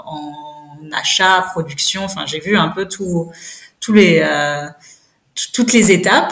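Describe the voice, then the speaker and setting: Her pitch is fairly low, with ordinary variation. The woman speaks at a fairly slow pace. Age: 30s. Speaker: cosmetics brand founder. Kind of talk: interview. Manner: hesitant, many fillers.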